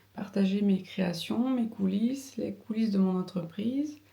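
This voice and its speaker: Amid noticeable background noise, a woman speaks at a moderate pace and medium pitch with ordinary pitch variation. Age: 30s. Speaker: vlogger and seamstress. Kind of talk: casual vlog. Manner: halting, many fillers.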